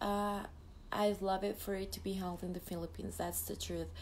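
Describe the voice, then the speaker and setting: A woman with a Mexican accent talks at a fairly quick pace and a medium pitch. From Mexico, Jalisco. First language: Spanish. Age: 20s. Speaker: beauty pageant contestant. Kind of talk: live stream Q&A. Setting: live video stream. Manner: halting.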